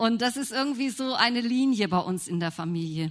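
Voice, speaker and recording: Very wide pitch swings mark this woman's speech. She keeps to a moderate pace. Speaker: churchgoer sharing testimony. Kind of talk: testimony. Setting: church service with congregation.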